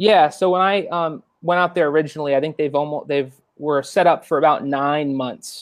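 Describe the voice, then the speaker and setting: An ordinary speaking voice from a man with an American accent, fairly high pitch and fairly even intonation, moderate pace with hardly any pauses, over a quiet background. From Long Island, New York, then Florida from 13. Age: 20s. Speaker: churchgoer sharing testimony. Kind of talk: testimony.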